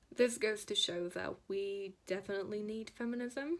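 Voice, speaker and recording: Speaking in a Polish accent, this woman is heard. She keeps a fairly slow pace. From Poland, Szczecin. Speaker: tattoo artist and illustrator. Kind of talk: prepared personal statement.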